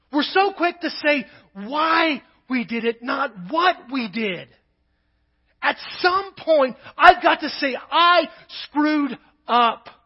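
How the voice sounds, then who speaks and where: With lively intonation, a man speaks at a very slow pace in an extremely high pitch, leaving long, frequent pauses. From Kentucky. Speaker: pastor. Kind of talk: sermon.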